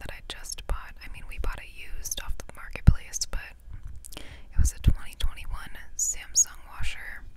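A soft-spoken woman whispers at a moderate pace. Loud background noise fills the recording. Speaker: vlogger. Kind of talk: casual vlog chat. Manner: soft close-mic ASMR whisper. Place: car. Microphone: lapel.

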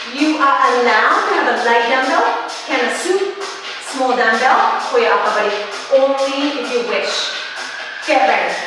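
Over clear music in the background and strong room echo, a woman uses a raised, projected voice at a moderate pace with long, frequent pauses. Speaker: fitness instructor. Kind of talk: workout class instruction. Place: home room.

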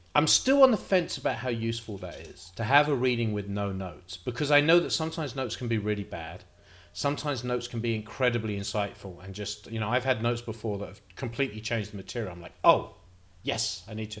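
A man talks at a very fast pace with ordinary pitch variation. His loudness swings widely. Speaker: playwright vlogger. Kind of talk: casual vlog chat. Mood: reflective, slightly nervous. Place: home room. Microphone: studio mic.

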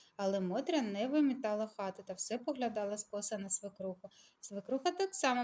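Aloud, a plain reading

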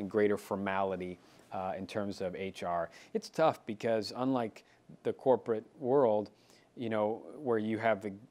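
Here is a man with a plain, everyday voice. He speaks fairly low and at a fairly slow pace. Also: ordinary pitch variation. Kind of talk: interview answer. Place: office. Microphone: lapel.

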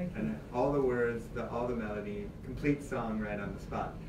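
Moderate pace from a male speaker, with noticeable background noise. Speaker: guest. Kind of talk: interview answer. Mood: warm, fond storytelling. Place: studio.

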